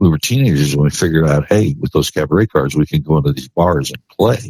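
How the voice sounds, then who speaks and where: A man with an American accent talks at a very fast pace in a very deep, low voice, his dark, mellow tone carrying vocal fry and ordinary pitch variation, all in a dry, close sound with no echo. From Indianapolis and Florida (St. Petersburg area). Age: 60s. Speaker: country singer. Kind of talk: casual interview chat.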